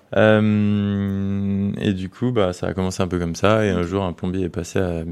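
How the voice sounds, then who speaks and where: A man talks at a very deep, low pitch. His pace is fairly slow and his intonation fairly even. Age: 20s. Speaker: soap maker and business owner. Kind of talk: casual interview chat.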